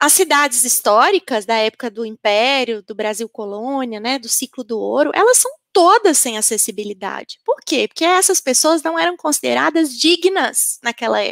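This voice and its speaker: A woman speaks at a high pitch and a moderate pace, her voice swinging very widely with hardly any pauses. The sound is dry and close, with no echo. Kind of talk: panel discussion answer.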